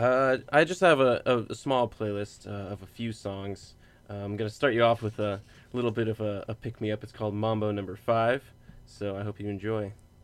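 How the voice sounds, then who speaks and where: Music plays in the background as a man speaks at a moderate pace with a fairly low pitch and fairly even intonation. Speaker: student radio co-host. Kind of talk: casual interview. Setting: studio.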